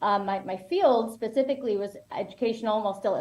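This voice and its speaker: With an American accent, a woman speaks at a fairly high pitch with ordinary pitch variation over noticeable background noise. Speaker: educational psychologist. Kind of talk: interview. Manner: loud. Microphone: no microphone.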